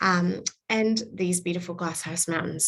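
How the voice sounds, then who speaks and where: Her voice is somewhat breathy, a woman's at a fairly low pitch. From Canada, Vancouver. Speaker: tourism representative. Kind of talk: destination presentation to travel audience. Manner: upbeat.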